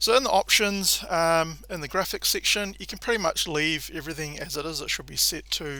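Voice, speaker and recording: A man talks at a fairly quick pace in a New Zealand accent. The recording is very clean, with a silent background. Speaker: gaming tutorial creator. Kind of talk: tutorial. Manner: casual, frequent filler 'um'.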